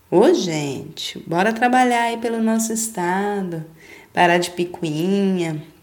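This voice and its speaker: Speaking at a fairly slow pace with an animated tone, a woman uses a medium pitch and ordinary pitch variation. Audible room echo surrounds her voice. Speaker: podcast host. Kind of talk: casual monologue.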